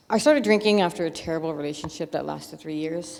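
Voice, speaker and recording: The voice moves through an ordinary range of pitch over noticeable background noise. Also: woman. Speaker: recovering alcoholic giving church testimony. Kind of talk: testimony. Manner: fast; halting, many fillers.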